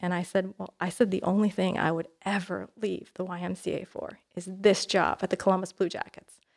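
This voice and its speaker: A woman with an American accent talks at a fairly quick pace with hardly any pauses, her medium-pitched voice showing vocal fry and a monotone, flat intonation. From Ontario, Canada. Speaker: nonprofit executive. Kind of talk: interview conversation. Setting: studio.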